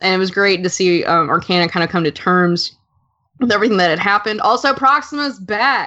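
A woman with a medium pitch speaks at a fairly quick pace, her tone animated and her intonation lively. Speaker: podcast co-host discussing the show. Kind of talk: casual podcast discussion. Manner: animated, excitable.

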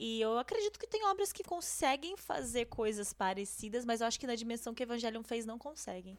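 A woman's fairly high voice, lively in intonation, at a fairly quick pace with hardly any pauses. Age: 20s. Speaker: anime podcaster. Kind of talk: casual chat.

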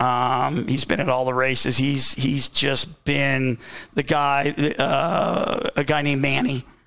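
Amid noticeable background noise, a man with an American accent speaks very slowly in a fairly high, flat monotone. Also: very even loudness. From Southern California. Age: 50s. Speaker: former motocross racer, team owner. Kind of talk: casual interview chat. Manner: halting, many fillers.

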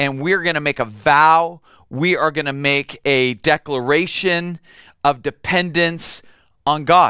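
A man speaks at a fairly high pitch with a bright, sharp tone and fairly even intonation. The sound is dry and close with no echo, the recording very clean against a silent background. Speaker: pastor. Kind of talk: sermon.

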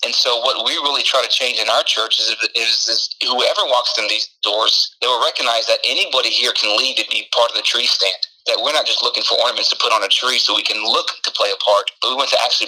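A man races at a very fast pace as noticeable background noise fills the recording. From Houston, Texas (Mexican-American family). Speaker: pastor. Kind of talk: interview with personal testimony.

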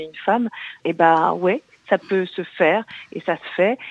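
Speaking at a fairly quick pace, a woman with medium pitch and an unremarkable speaking voice is heard in a dry, close sound with no echo. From Brittany. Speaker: actress and singer. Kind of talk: radio interview. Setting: phone call.

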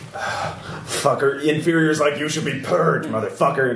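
Someone uses a put-on character voice at a moderate pace. Background noise is clearly audible. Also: man, fairly high pitch for a man. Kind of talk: rough. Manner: hostile, abusive.

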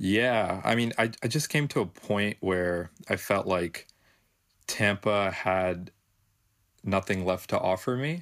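On a very clean recording with a silent background, a man with a fairly low pitch speaks at a very slow pace, with ordinary pitch variation and very even loudness. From Florida, US. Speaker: film producer. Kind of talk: casual interview chat.

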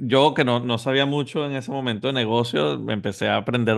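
Here is an unremarkable speaking voice moving at a fairly quick pace with ordinary pitch variation. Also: man. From Venezuela. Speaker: entrepreneur and business coach. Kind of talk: interview.

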